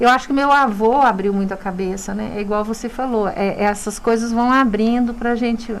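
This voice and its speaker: The pace is moderate, with ordinary pitch variation. Noticeable background noise runs underneath. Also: woman. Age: 60s. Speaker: dentist and university lecturer. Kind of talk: radio interview. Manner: halting, with frequent repetitions.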